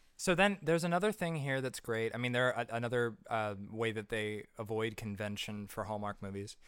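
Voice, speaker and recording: A man with an unremarkable speaking voice talks at a fairly quick pace, medium in pitch with ordinary pitch variation, on a very clean recording with a silent background. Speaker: podcast co-host. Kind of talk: casual chat.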